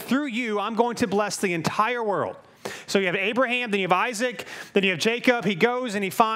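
Simply an unforced reading voice

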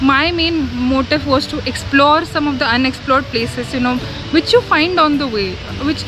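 Noticeable background noise surrounds a dry sound with no echo. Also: woman. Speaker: travel vlogger. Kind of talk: casual vlog chat. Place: garden. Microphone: phone near.

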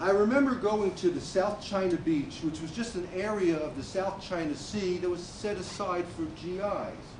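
With hardly any pauses, a man speaks in a high pitch with ordinary variation amid noticeable background noise. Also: moderate pace. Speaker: Air Force Vietnam veteran. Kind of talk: staged testimony. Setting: stage with audience. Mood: reflective storytelling. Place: stage. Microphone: camera far.

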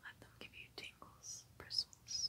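A woman whispers at a fairly slow pace in a gentle tone. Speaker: ASMR creator. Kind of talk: soft ASMR trigger words. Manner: soft-spoken, gentle and hushed. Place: home room. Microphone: phone near.

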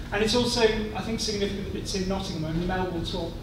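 A man's voice with audible room echo and loud background noise. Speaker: university institute director. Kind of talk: welcome speech. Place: hall. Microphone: podium.

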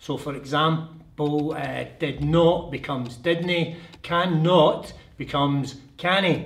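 Speaking at a very slow pace, a man sounds somewhat breathy, keeping his intonation fairly even. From Scotland. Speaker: teacher. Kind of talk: toned-down classroom speech. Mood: friendly, smiling. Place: classroom.

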